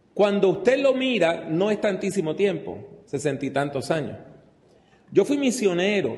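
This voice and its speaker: Very wide pitch swings in a man's speech, plus audible room echo. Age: 60s. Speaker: preacher. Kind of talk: sermon. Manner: conversational.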